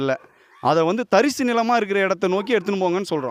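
This man talks with a high pitch and ordinary pitch variation. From Tamil Nadu, Kanchipuram area. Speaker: village protester. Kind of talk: street interview.

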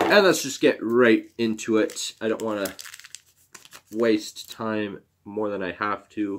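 The speech is very slow, with long, frequent pauses and ordinary pitch variation over light background noise. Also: man. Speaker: YouTuber opening hockey card packs. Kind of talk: casual card-opening video. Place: home room. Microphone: webcam.

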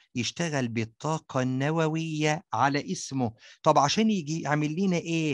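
A man's fairly high voice at a fairly slow pace with hardly any pauses, ordinary pitch variation, and a dry, close sound with no echo against a quiet background. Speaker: science teacher. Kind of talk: tutorial. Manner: animated.

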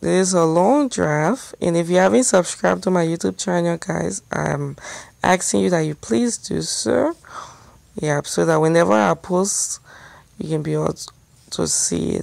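The voice moves at a moderate pace, with a dry sound free of echo and a quiet background. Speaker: travel vlogger. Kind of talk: casual vlog chat. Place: car. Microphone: phone near.

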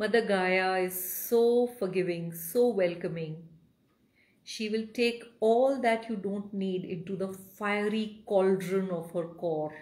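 Speaking very slowly with a soothing, gentle tone and ordinary pitch variation, a woman talks in an Indian accent. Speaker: meditation guide. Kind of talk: guided meditation. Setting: live video stream. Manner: soothing, slow, gentle. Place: home room.

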